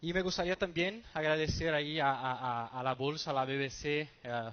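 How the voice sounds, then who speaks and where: A man talks at a fairly slow pace. His speech has a Brazilian accent. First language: Portuguese (speaking Spanish). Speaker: stock exchange market development manager. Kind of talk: conference presentation. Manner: halting, many fillers and repetitions.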